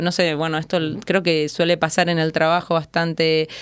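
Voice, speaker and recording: A fairly low-pitched woman's voice with an Argentine accent, on a very clean recording with a silent background. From Argentina. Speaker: athlete and coach. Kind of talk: interview.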